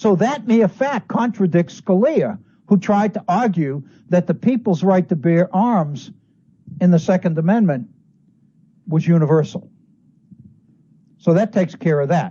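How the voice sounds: A man's high-pitched voice, dark and mellow in tone, at a fairly slow pace with lively intonation.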